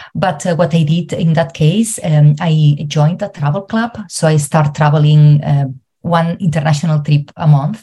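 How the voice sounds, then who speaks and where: A woman with a Spanish accent speaks at a fairly slow pace in a very deep, low pitch, her tone dark, mellow and somewhat breathy, with fairly even intonation. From Spain. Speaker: travel coach and psychologist. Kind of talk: interview. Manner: halting.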